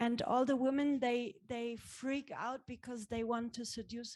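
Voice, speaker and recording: A woman speaks at a fairly slow pace with a German accent, her pitch fairly high. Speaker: actress. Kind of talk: panel discussion. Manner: halting.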